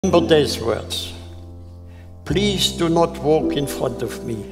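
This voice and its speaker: A man talks at a very slow pace, with clear music in the background. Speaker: Holocaust survivor. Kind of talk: life advice. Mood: earnest, gentle. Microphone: lapel.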